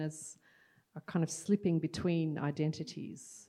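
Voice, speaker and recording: A woman's dark, mellow tone with an Australian accent. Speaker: poet and panel moderator. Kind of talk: moderated panel discussion. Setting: stage with audience.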